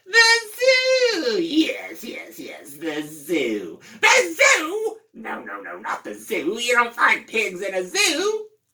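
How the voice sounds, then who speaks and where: A put-on character voice at a very slow pace, with hardly any pauses. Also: man, extremely high pitch for a man. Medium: read story. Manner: grouchy, cackling.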